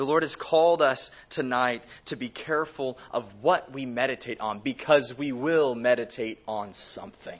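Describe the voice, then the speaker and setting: A man talks at a fairly slow pace in a plain, everyday voice. His pitch is medium, with ordinary pitch variation. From California, Bakersfield. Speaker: pastor. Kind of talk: sermon.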